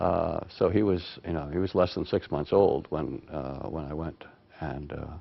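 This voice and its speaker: With vocal fry and a very deep, low pitch, a man talks at a moderate pace and varies his pitch in an ordinary way. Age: 60s. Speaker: retired public health advisor. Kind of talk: oral history interview. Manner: halting, many repetitions and fillers.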